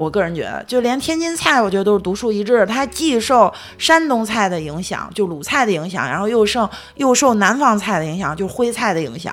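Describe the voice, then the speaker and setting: A woman of medium pitch at a fairly quick pace with very wide pitch swings. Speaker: podcast co-host. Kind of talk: casual chat.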